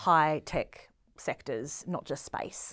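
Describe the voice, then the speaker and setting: A very clean recording with a silent background, holding a woman's voice at a moderate pace. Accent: Australian. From Australia, Melbourne. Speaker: space science centre deputy director. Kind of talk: casual interview.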